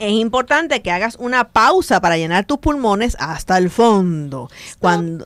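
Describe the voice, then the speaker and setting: Her pitch swings very widely. The woman's sound is dry, with no echo. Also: moderate pace, quiet background. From Puerto Rico. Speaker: radio host. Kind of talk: casual chat. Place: studio.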